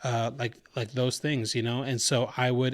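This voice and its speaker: A very clean recording with a silent background and a fairly slow pace. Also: man. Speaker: podcast host. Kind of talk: casual monologue. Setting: home kitchen. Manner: kept down in volume; naturally boisterous.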